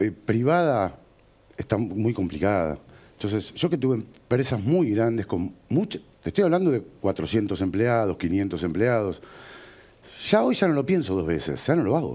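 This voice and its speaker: A man at a medium pitch with a dark, mellow tone, very wide pitch swings, a fairly slow pace and long, frequent pauses. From Buenos Aires province, Argentina. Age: 40s. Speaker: businessman; interview guest. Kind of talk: TV interview. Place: studio. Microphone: headset.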